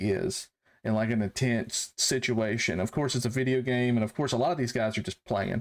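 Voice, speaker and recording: A man with a medium pitch speaks on a very clean recording with a silent background. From US South, rural North Carolina. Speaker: military veteran turned farmer. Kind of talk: casual chat. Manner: halting.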